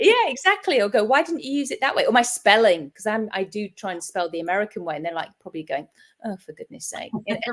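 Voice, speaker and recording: Racing along at a very fast pace, a woman with an English accent speaks at a fairly high pitch, with very wide pitch swings and big swings in loudness. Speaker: hypnotist, show host. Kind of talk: casual interview chat.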